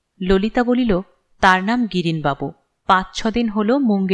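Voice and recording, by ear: With ordinary pitch variation, someone is reading aloud in a natural voice, the background quiet.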